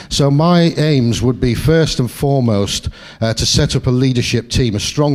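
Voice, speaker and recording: A man speaks with a Sheffield accent. His pitch variation is ordinary. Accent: Sheffield accent, kept. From northern England, Sheffield. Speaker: political candidate. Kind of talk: campaign speech. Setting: hustings in a meeting hall.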